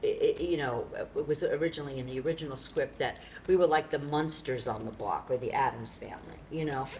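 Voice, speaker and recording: A woman with an American accent, a very deep, low pitch and a fairly quick pace, over noticeable background noise. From New York City. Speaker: playwright and performer. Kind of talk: post-show talkback.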